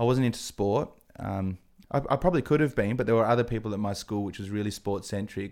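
With an Australian accent, a man speaks very fast at a fairly low pitch with ordinary pitch variation, in a very clean recording with a silent background. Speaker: TV presenter. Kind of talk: casual interview chat. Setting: studio. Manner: animated.

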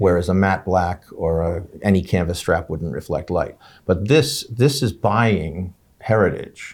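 Speaking at a fairly slow pace, a man with a very deep, low, somewhat breathy voice shows ordinary pitch variation on a very clean recording with a silent background. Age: 60s. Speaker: watch journalist and collector. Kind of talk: casual interview.

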